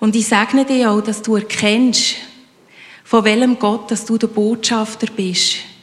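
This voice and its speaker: A woman's fairly high, monotone, flat voice, fairly slow, at a very even loudness over noticeable background noise. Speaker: congregation member praying. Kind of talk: spoken prayer.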